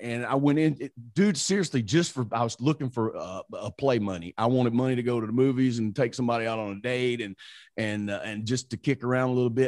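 Against a quiet background, a man with a Southern US accent and medium pitch speaks at a fairly quick pace. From Mississippi, US South. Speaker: radio morning show host. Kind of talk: casual interview chat.

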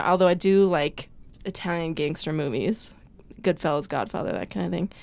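A woman with an American accent has a plain, everyday voice at medium pitch. She speaks at a moderate pace with ordinary pitch variation. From Chicago, US. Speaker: TV blogger. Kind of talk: casual chat.

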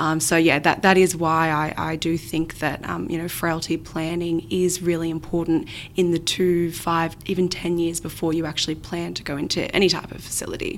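With an Australian accent, a woman speaks at a fairly low pitch in a monotone, flat way. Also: moderate pace. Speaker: aged care financial adviser. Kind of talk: interview.

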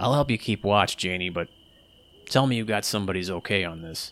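A gravelly put-on character voice at a fairly quick pace, on a very clean recording with a silent background. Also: man, fairly low pitch for a man. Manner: gruff, blunt.

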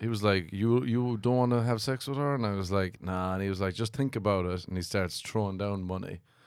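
Over a silent background on a very clean recording, a man speaks with an Irish accent at a fairly quick pace. His pitch is fairly low, with ordinary pitch variation. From Ireland. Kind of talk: casual chat.

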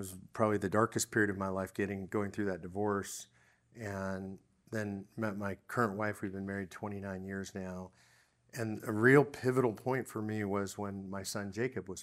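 A man talks at a moderate pace in a fairly low, monotone voice with flat intonation. The recording is very clean, the background silent. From US West Coast (Los Angeles, California). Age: 60s. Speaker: guest sharing his faith journey. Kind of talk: interview testimony.

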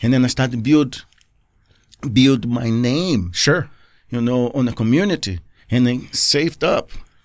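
A man with a Portuguese accent talks fairly slowly at a medium pitch with ordinary pitch variation, taking long, frequent pauses. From Brazil, Rio de Janeiro. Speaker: skydiver. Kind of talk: casual interview chat. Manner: animated, laughing often.

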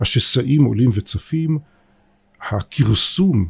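At a very slow pace, a man at medium pitch speaks somewhat breathily with ordinary pitch variation. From Israel. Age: 60s. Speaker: political science professor. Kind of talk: interview.

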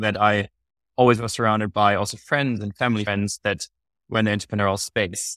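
A man's fairly low voice with a German accent, fairly even intonation, and a very fast pace, in a very clean recording with a silent background and a dry, close sound with no echo. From Germany. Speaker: podcast co-host. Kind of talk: casual chat.

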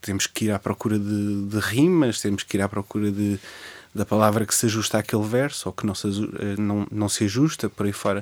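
Recorded very cleanly over a silent background, a man with a fairly low pitch speaks at a moderate pace with a dry, close sound and no echo. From Portugal, Lisbon area (Cascais line). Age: 20s. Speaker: poet and history teacher. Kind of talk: radio interview. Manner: halting, many repetitions.

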